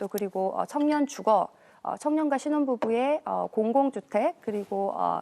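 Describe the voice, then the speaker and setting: Speaking fairly slowly in a Busan accent, a woman has a fairly high pitch and lively intonation. Her tone is dark and mellow, and the sound is dry and close with no echo. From South Korea, Busan. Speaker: parliamentary candidate, economist. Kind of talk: televised political debate.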